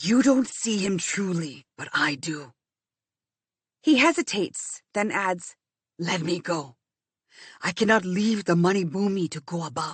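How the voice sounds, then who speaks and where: A woman's soft-spoken, raspy put-on character voice in a medium pitch, with lively intonation, a fairly slow pace and long, frequent pauses. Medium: read story. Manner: gentle, soft-spoken.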